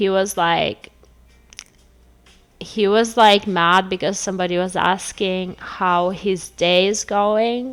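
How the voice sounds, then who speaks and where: Speaking at a very slow pace with a non-native accent, a woman shows ordinary pitch variation. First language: not English. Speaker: tarot reader. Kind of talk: casual chat. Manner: animated.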